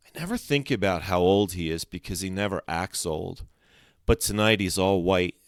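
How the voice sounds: What we hear is a natural reading voice whose pitch varies in an ordinary way.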